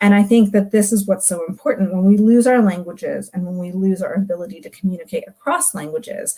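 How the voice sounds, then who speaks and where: Here a woman talks at a very fast pace in a medium pitch, her tone dark, mellow and somewhat breathy. Her intonation stays fairly even. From global South heritage, multilingual upbringing. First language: non-English heritage language. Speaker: literature academic. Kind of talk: recorded talk.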